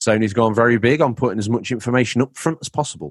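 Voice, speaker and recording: A man with an English accent talks at a very fast pace in an animated tone, recorded dry and close with no echo, very clean against a silent background. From England. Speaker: podcast host. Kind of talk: casual chat. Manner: animated, jokey.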